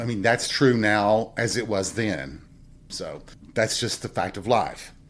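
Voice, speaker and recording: A man speaks with an American accent at a moderate pace. There is vocal fry in his voice. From Southern US. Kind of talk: podcast monologue. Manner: casual, reflective.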